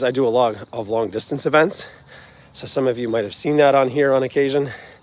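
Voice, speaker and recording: A man with a New Jersey accent speaks at a fairly quick pace and a medium pitch. His pitch varies in an ordinary way, and there is noticeable background noise. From New Jersey, US. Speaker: music channel host, vlogger. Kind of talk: casual livestream chat. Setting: outdoors, walking.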